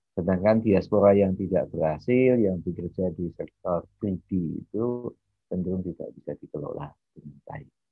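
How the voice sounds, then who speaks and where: The speaker uses ordinary pitch variation. The sound is dry with no echo, over a quiet background. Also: man, very deep, low pitch for a man, moderate pace. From Indonesia, Bantul (Yogyakarta); Indonesia. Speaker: university lecturer. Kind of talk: lecture. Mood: animated, smiling.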